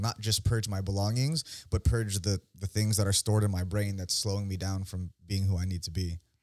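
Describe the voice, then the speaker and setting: On a very clean recording with a silent background and a dry, close sound with no echo, a man with an American accent talks in an unremarkable speaking voice at a fairly low pitch, with fairly even intonation and a fairly quick pace. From San Francisco Bay Area, California. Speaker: author and fighter. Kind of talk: casual chat.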